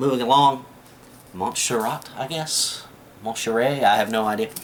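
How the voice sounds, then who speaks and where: Speaking at medium pitch with an American accent, a man leaves long, frequent pauses over noticeable background noise. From US South. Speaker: prepping video maker. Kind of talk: tutorial. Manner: casual, with many fillers.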